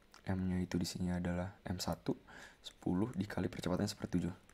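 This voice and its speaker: A man speaks at a fairly quick pace. His voice is very deep and low, with a dark, mellow tone. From Indonesia. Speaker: physics tutor. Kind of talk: tutorial. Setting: rented room. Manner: monotone. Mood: relaxed, casual. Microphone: webcam.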